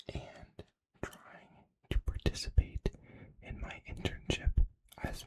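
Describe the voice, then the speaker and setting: A man whispers at a very slow pace. The sound is dry and close, with no echo. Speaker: ASMR creator. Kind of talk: ASMR whisper ramble, casual life update. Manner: whispered, soft, slow.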